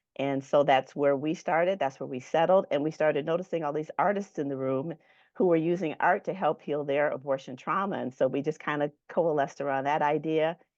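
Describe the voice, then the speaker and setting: A woman speaks with hardly any pauses. Her voice is very deep and low, with fairly even intonation. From Michigan. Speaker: nurse and ministry founder. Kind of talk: testimony.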